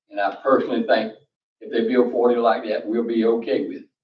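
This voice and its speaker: Speaking at a fairly quick pace, a man talks with a North Carolina accent. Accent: North Carolina Southern. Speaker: public commenter. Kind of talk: public comment at town meeting. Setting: town council meeting. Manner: loud.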